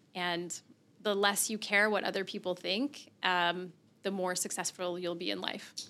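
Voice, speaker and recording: A woman's bright, sharp voice at medium pitch, fairly slow, in a very clean recording with a silent background. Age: 30s. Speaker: marketing consultant. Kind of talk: interview. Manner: animated.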